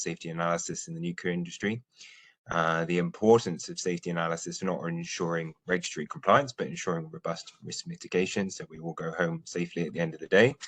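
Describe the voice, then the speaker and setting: A man with a British accent and a very deep, low voice, very fast pace, fairly even intonation, big swings in loudness, and a quiet background. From UK. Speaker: nuclear safety expert. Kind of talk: webinar presentation. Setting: online webinar.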